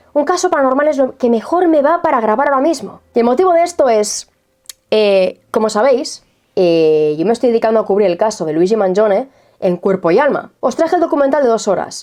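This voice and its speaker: Her pitch is high and swings very widely, while her loudness stays very even. The woman speaks at a fairly quick pace. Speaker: true crime and mystery YouTuber. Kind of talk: casual video monologue to viewers.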